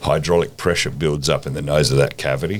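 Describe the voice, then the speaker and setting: Lively intonation from a man with a very deep, low pitch, over noticeable background noise. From Australia. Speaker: ammunition company co-founder and COO. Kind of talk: podcast interview answer.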